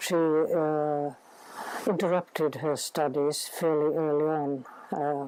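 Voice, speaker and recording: Against noticeable background noise, a woman with a Finnish accent speaks in a very deep, low voice with monotone, flat intonation. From Finland, Helsinki. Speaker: linguist and scholar. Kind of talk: interview. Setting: summer house in Sweden. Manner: hesitant, many filler words.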